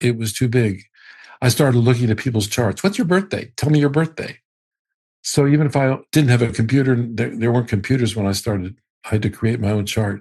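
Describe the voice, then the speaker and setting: Over a quiet background, a man with a medium pitch and a somewhat breathy voice speaks fairly quickly with ordinary pitch variation. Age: 70s. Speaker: astrologer. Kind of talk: interview.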